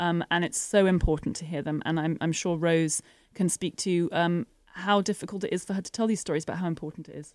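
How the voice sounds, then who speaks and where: This woman has an unremarkable speaking voice with a fairly low pitch. Her pace is fairly quick. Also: fairly even intonation. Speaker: documentary film director. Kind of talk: radio interview. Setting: studio.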